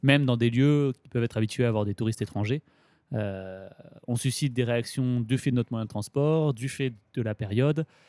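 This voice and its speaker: This man's dark, mellow voice sits at a medium pitch with ordinary pitch variation, moving at a moderate pace in a dry, close sound with no echo. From Grenoble, France. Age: 20s. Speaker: cycle traveller. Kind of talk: interview.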